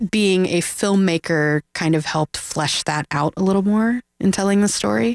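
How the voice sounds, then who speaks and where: A woman speaks in a normal speaking voice at a medium pitch with ordinary pitch variation. The sound is dry and close, with no echo. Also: moderate pace. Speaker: filmmaker. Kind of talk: casual radio interview. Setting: radio studio.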